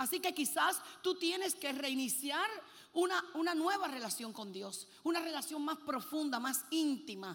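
Woman with an animated tone and lively intonation at a moderate pace. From Puerto Rico. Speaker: preacher. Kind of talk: sermon. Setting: stage with audience.

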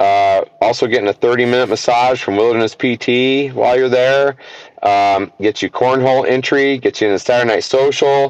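A man with a normal speaking voice and an American accent talks at medium pitch and a moderate pace. His intonation is fairly even, his loudness very even, and the sound dry and close with no echo. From US. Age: 50s. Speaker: archery event organizer and water operator. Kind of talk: casual interview chat.

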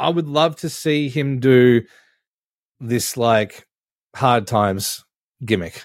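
A man with a medium pitch and lively intonation, at a very slow pace with long, frequent pauses. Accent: Australian. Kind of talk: casual chat.

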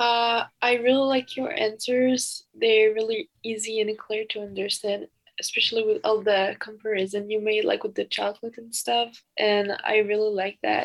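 Monotone, flat intonation in a French accent, at a moderate pace with hardly any pauses. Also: woman, fairly high pitch for a woman. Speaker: exchange student. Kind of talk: casual chat.

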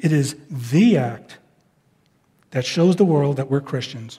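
This man's voice has a dark, mellow tone. It comes across as somewhat breathy. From New York. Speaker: pastor. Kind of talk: sermon. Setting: church.

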